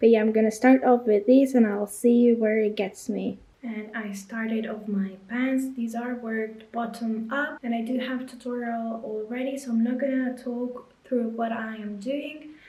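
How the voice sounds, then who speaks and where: A woman speaks with a Lithuanian accent at a fairly high pitch. Her intonation is monotone and flat, over noticeable background noise. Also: moderate pace. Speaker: crochet and knitting content creator. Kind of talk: casual vlog narration.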